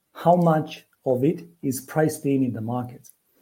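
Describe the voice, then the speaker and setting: A man's very slow, somewhat breathy voice with a Romanian accent, dark and mellow in tone, fairly high in pitch, with ordinary pitch variation. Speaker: forex trader. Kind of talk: podcast interview.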